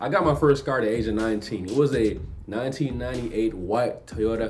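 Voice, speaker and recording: A man with a slight Jamaican accent talks at a fairly quick pace with ordinary pitch variation. There is audible room echo and noticeable background noise. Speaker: YouTuber. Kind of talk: reaction video chat. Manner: clear enunciation.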